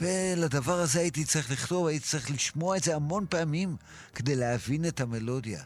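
Delivered at a fairly quick pace with very even loudness and ordinary pitch variation, a plain, everyday voice comes through on a very clean recording against a silent background. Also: man, fairly high pitch for a man. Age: 60s. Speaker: songwriter. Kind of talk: interview. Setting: studio.

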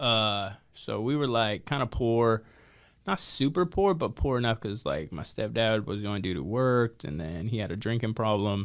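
An unremarkable speaking voice moves at a moderate pace, its intonation lively. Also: man, medium pitch for a man. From Idaho. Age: 30s. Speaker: recovery center founder. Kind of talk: interview.

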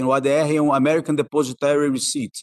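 A man has an ordinary speaking voice, with a fairly high pitch at a moderate pace. The sound is dry and close with no echo. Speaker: investment executive. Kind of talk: interview.

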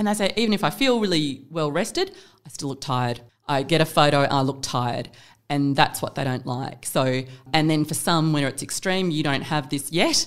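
A woman with an Australian accent, a very deep, low pitch, ordinary pitch variation and a moderate pace. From Perth, Western Australia. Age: 40s. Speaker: plastic surgery clinic manager. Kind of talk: casual interview chat. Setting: podcast studio.

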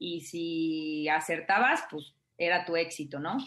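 With a Mexican accent, a woman speaks at a fairly low pitch. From Mexico (provincial). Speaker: life coach / happiness student. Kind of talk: radio interview.

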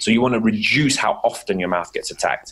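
A man with an English accent speaks at a medium pitch and a fairly quick pace. His intonation is lively. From England. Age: 30s. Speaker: dentist. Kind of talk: casual chat.

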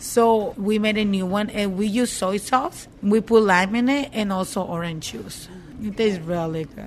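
A woman talks with an unremarkable speaking voice at a moderate pace. Her medium pitch shows ordinary variation, while her loudness swings widely.

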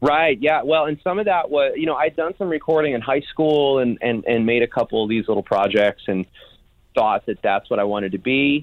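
Quick-paced and lively in intonation, a man with a fairly high pitch uses a normal speaking voice. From US Midwest, Chicago. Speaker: songwriter and producer. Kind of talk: interview, casual chat.

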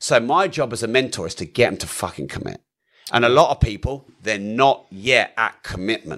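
There's vocal fry as a man talks at a medium pitch with lively intonation and a moderate pace. The recording is very clean and the background silent. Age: 40s. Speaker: entrepreneur and property investor. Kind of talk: interview conversation. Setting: studio.

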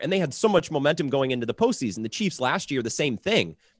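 Very fast speech from a man at a fairly high pitch, with very wide pitch swings and vocal fry, dry and close with no echo over a quiet background. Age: 20s. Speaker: sports radio host. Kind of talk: sports talk panel.

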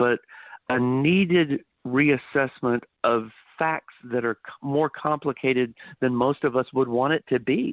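A man with an American accent and an unremarkable speaking voice talks at a fairly high pitch. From Texas (Dallas area). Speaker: history professor. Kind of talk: radio interview. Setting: phone call.

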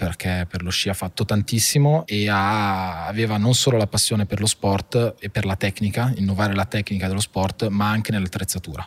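The sound is dry and close with no echo. A man talks at a fairly quick pace and fairly low pitch with fairly even intonation. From northern Italy, Monza (Brianza). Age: 30s. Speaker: family business executive. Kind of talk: interview. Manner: halting.

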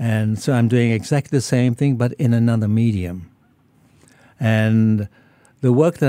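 At a fairly slow pace, a man speaks at medium pitch in a dark, mellow tone with fairly even intonation, recorded very cleanly against a silent background. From Malaysia and Singapore. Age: 80s+. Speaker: artist. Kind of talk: radio interview. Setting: radio studio. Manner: halting, frequent repetitions.

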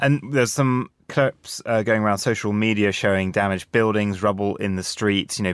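An ordinary speaking voice, a man's at a fairly low pitch, moves at a fairly quick pace with fairly even intonation, recorded very cleanly against a silent background in a dry, close sound with no echo. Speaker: radio host. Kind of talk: live radio presenting, formal newsreading for headlines. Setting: studio. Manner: formal, crisp and steady newsreader delivery; polished, measured, businesslike pace.

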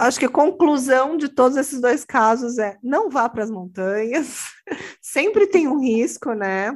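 Against a quiet background, a woman speaks fairly slowly in a high voice with lively intonation. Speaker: true crime podcast host. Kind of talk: casual chat.

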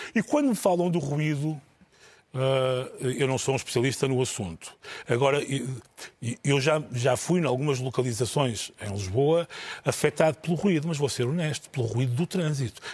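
A man with an ordinary speaking voice, a fairly high pitch, ordinary pitch variation and a moderate pace. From northern Portugal. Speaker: TV journalist. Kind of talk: panel discussion.

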